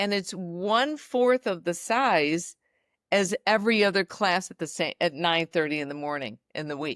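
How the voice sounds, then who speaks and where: A woman at a fairly low pitch and moderate pace, lively intonation, on a very clean recording with a silent background and a dry, close sound with no echo. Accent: American. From US Midwest. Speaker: fitness entrepreneur and former dancer. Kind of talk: podcast interview.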